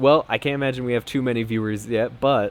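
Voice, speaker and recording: Here a man speaks with fairly even intonation. His pitch is in the medium range. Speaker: game developer, stream host. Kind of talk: casual live stream chat. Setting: live stream with team on Discord. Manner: loud.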